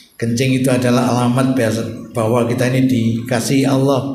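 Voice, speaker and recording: A man talks at a moderate pace and a medium pitch. Noticeable background noise and audible room echo fill the recording. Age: 60s. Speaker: Islamic preacher. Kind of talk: sermon. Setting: mosque.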